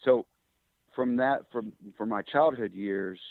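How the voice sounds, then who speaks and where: A man is speaking. He talks with a Midwestern US accent. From Kansas. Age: 60s. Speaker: engine builder and drag racer. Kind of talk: interview storytelling. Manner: relaxed with frequent fillers.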